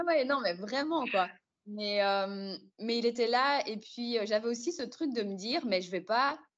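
A woman's high-pitched, bright, sharp voice at a very slow pace, with lively intonation. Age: 20s. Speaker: podcast guest sharing experience of depression. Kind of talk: personal testimony in casual interview. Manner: hesitant, many fillers.

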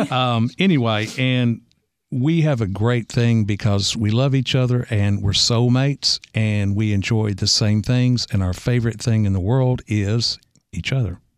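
At a fairly slow pace and very even loudness, a man with a normal speaking voice talks at a medium pitch. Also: ordinary pitch variation. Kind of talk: radio interview. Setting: studio.

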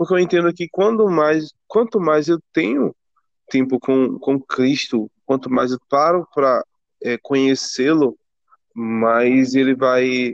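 Speaking at a very slow pace, a man with a fairly high pitch and ordinary pitch variation sounds dry and close, with no echo. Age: 20s. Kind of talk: casual faith conversation.

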